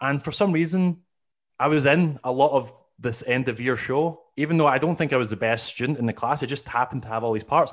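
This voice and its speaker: Against a very clean recording with a silent background, a man with a Scottish accent talks at a very fast pace and a fairly high pitch. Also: ordinary pitch variation. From Scotland, Glasgow. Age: 40s. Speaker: comedian. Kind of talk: casual chat.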